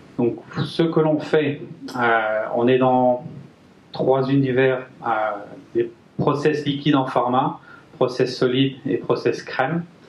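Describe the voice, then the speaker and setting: The speech moves at a very slow pace with long, frequent pauses and audible room echo. Loudness is very even and intonation fairly even. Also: man, medium pitch for a man. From France, Brittany (Guingamp). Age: 30s. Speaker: engineer and company manager. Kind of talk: business presentation. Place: meeting room.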